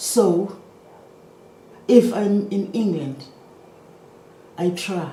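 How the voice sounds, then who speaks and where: A woman with an African accent speaks with ordinary pitch variation, and audible room echo surrounds her voice. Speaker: maritime economics lecturer. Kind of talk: lecture.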